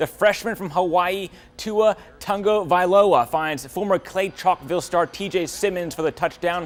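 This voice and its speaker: A man at a high pitch, talking at a moderate pace. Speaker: sports reporter and anchor. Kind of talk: sports highlight voiceover. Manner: energetic, enthusiastic.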